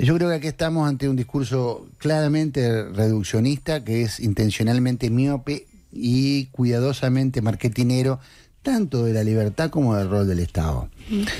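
A man of medium pitch in a Uruguayan accent, dark and mellow in tone, at a moderate pace with ordinary pitch variation, very even loudness and a quiet background. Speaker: journalist and news director; journalist, news director. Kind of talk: political commentary on a radio show. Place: studio. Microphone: studio mic.

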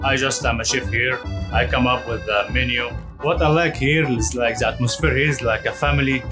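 Clear music sounds behind the voice. The man talks at a fairly quick pace. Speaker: restaurant chef. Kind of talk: interview answer. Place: kitchen. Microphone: lapel.

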